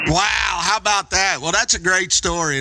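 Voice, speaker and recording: Speaking with a Kentucky accent, a man uses a bright, sharp tone at a moderate pace with ordinary pitch variation. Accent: Kentucky twang. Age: 50s. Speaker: ham radio operator. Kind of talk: casual chat. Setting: amateur radio contact, live stream.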